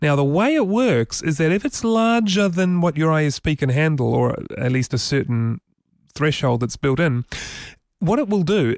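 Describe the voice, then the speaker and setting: Recorded very cleanly against a silent background, a man with a fairly high pitch speaks at a moderate pace, with very wide pitch swings, very even loudness and a dry, close sound with no echo. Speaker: tech podcast host. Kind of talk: casual chat, tech news discussion. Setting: studio.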